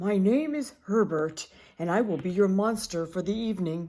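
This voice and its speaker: Using a put-on character voice, a woman speaks breathily at medium pitch and a moderate pace. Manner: formal, courteous.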